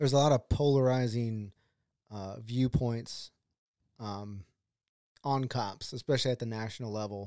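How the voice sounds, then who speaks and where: A man speaks with a Texan accent in a dark, mellow tone at a moderate pace, his loudness swinging widely. Long pauses come often, and the recording is very clean with a silent background. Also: medium pitch for a man, fairly even intonation, dry, close sound with no echo. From Texas, Dripping Springs. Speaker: podcast host. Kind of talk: casual interview.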